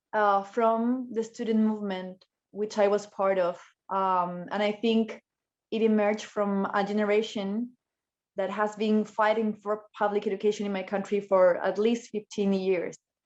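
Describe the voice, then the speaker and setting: In a Spanish accent, a woman speaks in a flat monotone at a medium pitch and a moderate pace against a quiet background. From Chile. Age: 30s. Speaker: politician. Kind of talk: panel discussion. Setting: video call.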